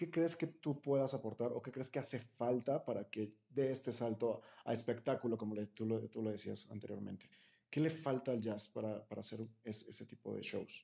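This man's voice sits at a medium pitch, with a dark, mellow tone and some vocal fry. He talks at a moderate pace with ordinary pitch variation. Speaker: podcast host. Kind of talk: interview.

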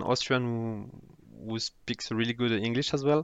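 A man with a French accent speaks at a medium pitch in a flat, monotone way. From France, Toulouse (southwest). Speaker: former banker. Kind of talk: casual interview chat. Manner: halting, repeats words.

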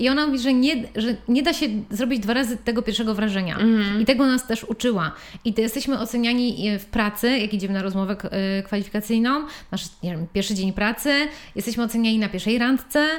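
A woman's very fast, fairly high-pitched speech with ordinary pitch variation. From Poland, Włocławek. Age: 30s. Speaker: stylist. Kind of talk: casual chat. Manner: animated.

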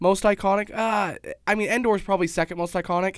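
A man with an American accent speaks in a high pitch. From Utah, Pleasant Grove. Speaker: show regular. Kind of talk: casual chat. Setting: studio.

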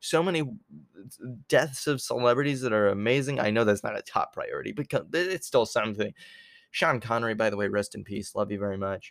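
Very fast male speech at medium pitch, lively in intonation, on a very clean recording with a silent background. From New York, moved to Canada at about seven. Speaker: podcast host. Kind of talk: solo political rant. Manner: rambling, halting with many fillers.

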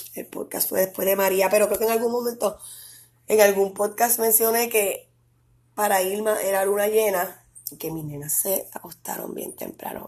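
With a Puerto Rican accent, a woman speaks at a moderate pace and medium pitch, her loudness swinging widely, in a very clean recording with a silent background. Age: 30s. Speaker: podcast host. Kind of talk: casual monologue.

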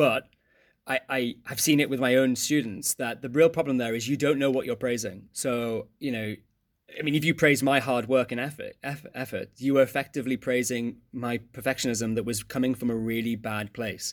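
In a very clean recording with a silent background, a man with an English accent speaks at a medium pitch and a moderate pace. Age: 30s. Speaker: economics teacher. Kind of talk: casual interview. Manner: energetic; hesitant, many fillers.

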